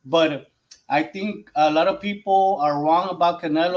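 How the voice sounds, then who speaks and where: Speaking at a fairly slow pace, a man with a Mexican accent uses a high pitch. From Mexico. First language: Spanish. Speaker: boxing podcast panelist. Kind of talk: casual boxing discussion. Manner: halting, searching for English words.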